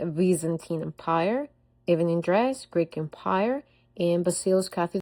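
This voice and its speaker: Pitch varies in an ordinary way while the pace stays moderate. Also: woman. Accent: non-native. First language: not English. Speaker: student presenter. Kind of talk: class presentation. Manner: reading from a script, slightly halting.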